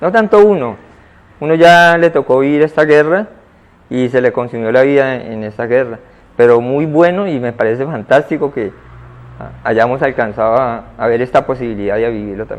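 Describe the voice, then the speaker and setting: This man has a normal speaking voice at a medium pitch and moderate pace. His intonation is lively. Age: 60s. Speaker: conflict victim. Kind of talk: interview.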